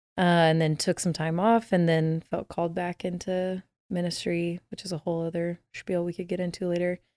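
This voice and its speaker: With an American accent, a woman speaks at a moderate pace with hardly any pauses, her fairly low voice dark and mellow in tone and monotone and flat in intonation, on a very clean recording with a silent background and a dry, close sound with no echo. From Texas, Dallas. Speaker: worship leader. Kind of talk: casual interview.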